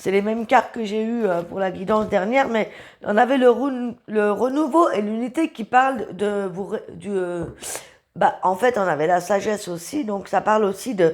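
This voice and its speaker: The woman's medium-pitched voice shows ordinary pitch variation and moves at a moderate pace. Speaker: tarot reader. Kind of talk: tarot reading. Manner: halting.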